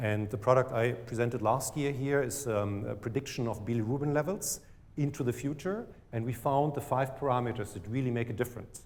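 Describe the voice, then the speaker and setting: A man talks at a fairly quick pace with a German accent and a somewhat breathy voice. His pitch is medium, with ordinary variation. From Germany. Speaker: startup CEO. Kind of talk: pitch presentation.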